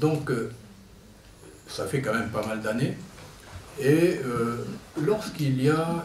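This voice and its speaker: This man's voice sits fairly high and moves at a very slow pace with long, frequent pauses. Noticeable background noise and audible room echo surround him. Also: lively intonation. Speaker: activist association president. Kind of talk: conference talk. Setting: conference hall with audience. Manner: halting.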